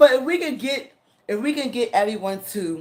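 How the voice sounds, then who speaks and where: Lively intonation from a female speaker. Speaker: online content creator. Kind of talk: livestream chat with viewers. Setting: live stream. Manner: halting, stuttering.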